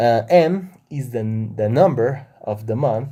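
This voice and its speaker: A man speaks at a very slow pace in a Spanish accent, his medium-pitched voice dark and mellow, on a very clean recording with a silent background. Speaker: math educator YouTuber. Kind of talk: tutorial.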